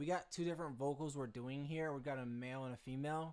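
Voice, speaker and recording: The speaker is a man with a medium-pitched voice. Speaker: music producer and YouTuber. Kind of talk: tutorial. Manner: halting, stumbles over words; casual and fast-paced.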